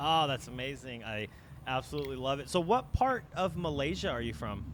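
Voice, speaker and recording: Fairly quick, fairly high-pitched man's voice with vocal fry and ordinary pitch variation. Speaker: podcast host. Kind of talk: interview.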